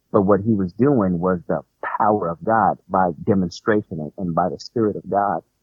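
Over music in the background, a man with a fairly low pitch talks at a moderate pace with hardly any pauses. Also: ordinary pitch variation. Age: 40s. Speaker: minister. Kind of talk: casual religious discussion.

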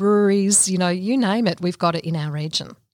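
Speaking fairly quickly with fairly even intonation, a woman with an Australian accent is captured in a very clean, dry, close recording with a silent background and no echo. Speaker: small business consultant. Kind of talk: podcast interview. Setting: studio.

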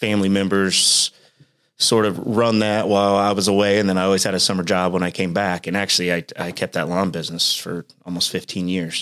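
Speaking at a moderate pace in a Midwestern American accent, a man with a very deep, low pitch keeps a monotone, flat intonation. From Indiana, Richmond. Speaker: business owner. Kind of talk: casual interview.

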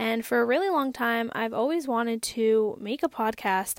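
With an American accent, a woman talks at a moderate pace in a fairly high pitch, on a very clean recording with a silent background and a dry, close sound with no echo. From Massachusetts, US. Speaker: podcaster and YouTuber. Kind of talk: casual monologue. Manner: animated.

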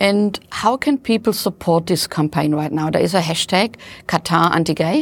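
With a plain, everyday voice, a woman speaks at a moderate pace in a fairly low pitch with lively intonation, the sound dry and close with no echo. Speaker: podcast interviewer. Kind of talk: interview.

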